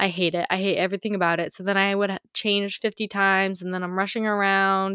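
Very fast and monotone, a woman speaks at a medium pitch with a bright, sharp tone and flat intonation. The sound is dry and close with no echo, in a very clean recording with a silent background. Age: 20s. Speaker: podcast host. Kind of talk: casual chat. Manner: casual, filler-heavy.

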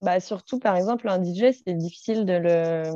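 In a dry, close sound with no echo, a woman with a dark, mellow tone talks at a fairly slow pace and medium pitch with ordinary pitch variation. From Saint-Étienne, Loire, France. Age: 30s. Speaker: entrepreneur, wedding preparation program founder. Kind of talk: podcast interview.

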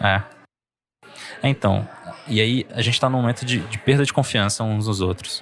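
Over music in the background, a man with a medium pitch speaks at a moderate pace, his fairly even intonation broken by long, frequent pauses. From Brazil (Pará and Goiás). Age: 30s. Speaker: scientist and science podcaster. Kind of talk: casual interview conversation. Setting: café at a university library.

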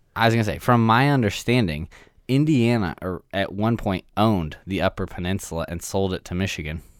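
A man speaks in a normal speaking voice at a fairly quick pace. His pitch is fairly low, and his intonation is lively. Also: very clean recording, silent background. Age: 20s. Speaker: podcast co-host. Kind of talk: casual chat.

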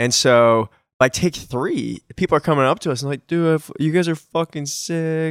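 In a very clean recording with a silent background and a dry, close sound with no echo, a man has an ordinary speaking voice at a fairly high pitch, with ordinary pitch variation and a moderate pace. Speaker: podcast co-host, band member, singer. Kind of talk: casual chat.

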